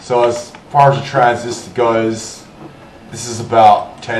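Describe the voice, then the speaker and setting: The room echo is audible and there is noticeable background noise. A man talks at a medium pitch and a fairly slow pace. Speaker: hobbyist electronics tinkerer. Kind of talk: casual explanation to camera.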